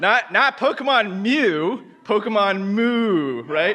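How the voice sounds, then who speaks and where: A man's bright, sharp voice sounds animated and swings very widely in pitch. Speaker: conference speaker. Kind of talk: conference talk. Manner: fast.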